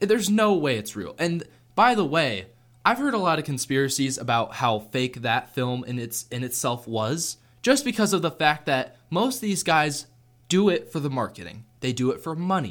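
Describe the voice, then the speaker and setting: A man's fairly high voice with very wide pitch swings, a moderate pace, and a very clean recording over a silent background. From US Pacific Northwest, Seattle. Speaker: student podcast host. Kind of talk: casual chat. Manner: animated.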